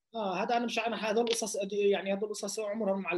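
A man is talking. His pace is fairly quick. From Lod, Palestinian citizen of Israel. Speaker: rapper. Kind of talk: interview.

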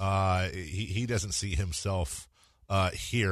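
Against a quiet background, a man with a very deep, low pitch uses a playful tone. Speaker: radio host. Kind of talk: casual radio interview. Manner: joking, playful.

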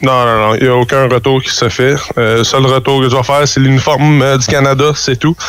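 The speech moves at a fairly quick pace with monotone, flat intonation and very even loudness. Noticeable background noise sits behind it. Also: man, medium pitch for a man. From Quebec, Gatineau. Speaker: professional baseball player. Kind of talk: radio interview.

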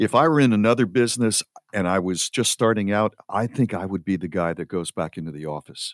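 With lively intonation and a fairly quick pace, an unremarkable speaking voice comes through over a quiet background. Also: man, fairly low pitch for a man. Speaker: radio host. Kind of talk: casual chat.

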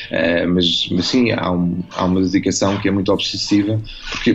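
Moderate-paced speech in a European Portuguese accent, with music in the background. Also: man. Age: 40s. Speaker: novelist. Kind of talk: radio interview. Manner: halting, many fillers and repetitions.

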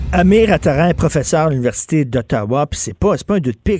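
A man with a Quebec accent speaks in a dark, mellow tone with lively intonation. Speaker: radio talk show host. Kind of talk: talk radio commentary and interviews. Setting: radio studio.

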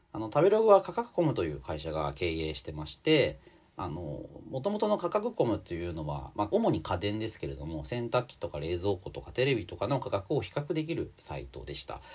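Fairly quick speech from a man with a fairly low voice, vocal fry, very wide pitch swings and big swings in loudness. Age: 40s. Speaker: magazine editor and podcast host. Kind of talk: solo commentary podcast. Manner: casual with many filler words.

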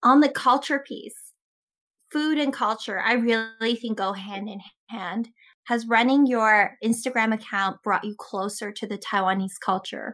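A woman's ordinary speaking voice with a Canadian accent, fairly high in pitch, fairly slow, with ordinary pitch variation and big swings in loudness, on a very clean recording with a silent background. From Canada. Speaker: podcast host. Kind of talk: interview.

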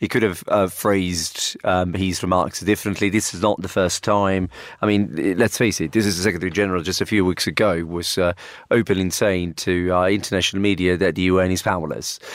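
On a very clean recording with a silent background, a man speaks fairly quickly at a very deep, low pitch. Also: fairly even intonation. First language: Italian. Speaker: university professor. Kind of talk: panel discussion. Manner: halting, hesitant.

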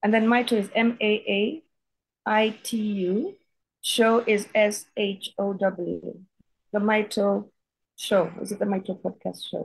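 The speaker has a Kenyan accent and a somewhat breathy voice. The pace is very slow, with fairly even intonation and long, frequent pauses. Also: woman, fairly high pitch for a woman. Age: 50s. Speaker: writer and healer. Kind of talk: interview, personal testimony.

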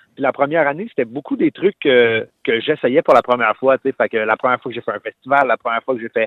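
Talking at a very fast pace, a man speaks with a Quebec accent. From Quebec, Terrebonne. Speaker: singer-songwriter. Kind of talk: interview. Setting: phone call.

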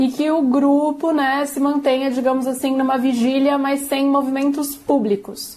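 Noticeable background noise sits behind a woman's voice. She speaks at a moderate pace with a high pitch. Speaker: political reporter. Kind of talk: news interview.

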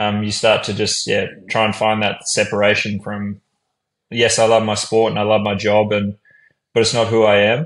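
Over a quiet background, a man speaks at a moderate pace in a fairly low pitch with monotone, flat intonation. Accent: Australian. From Brisbane, Australia. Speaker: professional basketball player. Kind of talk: casual interview.

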